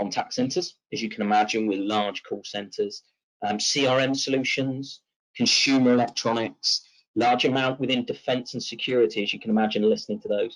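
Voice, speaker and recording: A man talks with a West Country accent. His voice sits at a medium pitch. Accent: British Southwest twang. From Southwest England. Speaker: tech company presenter. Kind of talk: webinar presentation. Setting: online webinar. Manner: hesitant with fillers.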